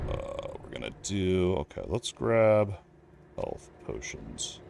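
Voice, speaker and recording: A man talks at a very slow pace. Noticeable background noise is present. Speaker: gaming streamer. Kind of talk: casual chat. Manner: loud; animated.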